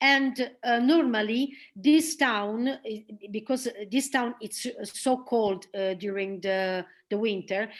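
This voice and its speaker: In an Italian accent, a woman speaks at a very slow pace with ordinary pitch variation. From northern Italy, Milan. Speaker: theater director and actress. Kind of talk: presentation and interview. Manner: halting.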